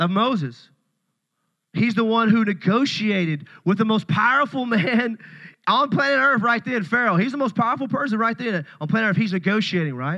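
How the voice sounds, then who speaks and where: Against a quiet background, a man with a Tennessee accent uses a raised, projected voice that is high-pitched, bright and sharp, with an animated tone, lively intonation and a moderate pace. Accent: Southern US (Tennessee). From US South, Paris, Tennessee. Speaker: pastor. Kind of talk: sermon.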